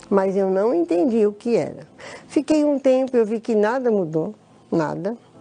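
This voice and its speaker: Her fairly high-pitched voice moves with lively intonation at a fairly slow pace, and the woman keeps her loudness very even. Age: 60s. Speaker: church member giving testimony. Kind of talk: testimony. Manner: halting.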